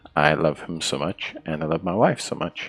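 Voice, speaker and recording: A man with a South African accent. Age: 30s. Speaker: YouTuber, gaming channel host. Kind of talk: casual personal vlog talk.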